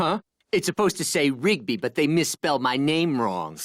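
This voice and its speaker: In a cartoonish character voice, the speaker talks at a middle pitch and a moderate pace. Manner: loud, whiny, excitable.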